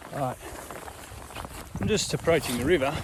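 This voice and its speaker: A man with an Australian accent at a fairly quick pace, ordinary pitch variation, and noticeable background noise. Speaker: fishing vlogger. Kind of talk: casual vlog commentary. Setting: outdoors by a river.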